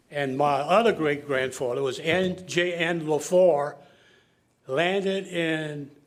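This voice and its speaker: Audible room echo surrounds this recording. A man speaks in a south Louisiana accent. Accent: south Louisiana Cajun English. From south Louisiana (Lafourche Parish). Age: 80s+. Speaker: public commenter at council meeting. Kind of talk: public comment at government meeting. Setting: council meeting chamber.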